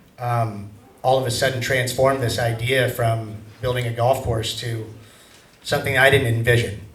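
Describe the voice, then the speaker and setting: A man with an American accent and monotone, flat intonation, amid audible room echo and noticeable background noise. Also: medium pitch for a man, moderate pace. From US Pacific Northwest. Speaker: golf course developer presenting a proposal. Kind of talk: public meeting presentation. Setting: public meeting in a hall.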